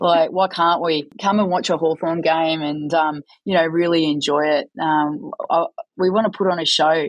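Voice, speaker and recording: Moderate in pace, a woman talks with an Australian accent. Her pitch is fairly low and her loudness very even. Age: 40s. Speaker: football coach. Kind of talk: interview.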